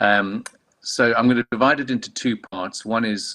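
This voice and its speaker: A man with a South African accent is heard in a dry, close recording with no echo. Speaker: clinical oncologist and medical director. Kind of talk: conference talk. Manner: hesitant, many fillers.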